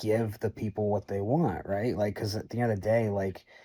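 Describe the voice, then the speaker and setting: The recording is very clean, with a silent background, and a man speaks in a Boston accent. His pitch is fairly low, his tone dark and mellow, his intonation fairly even. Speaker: community member answering fan questions. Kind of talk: Q&A answering questions. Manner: casual, many filler words.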